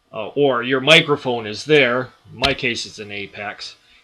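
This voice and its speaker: This is a man speaking. He talks at a fairly slow pace. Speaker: music software tutorial maker, songwriter. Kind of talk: tutorial. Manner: halting, many filler words.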